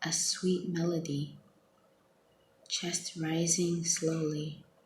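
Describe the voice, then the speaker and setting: A soft-spoken woman talks at a very slow pace. Her pitch is fairly low. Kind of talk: poetry reading.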